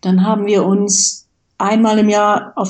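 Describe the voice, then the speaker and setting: Somewhat breathy, this woman's voice sits at a fairly high pitch. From Westphalia, Germany. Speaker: IT manager and foundation board member. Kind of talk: interview.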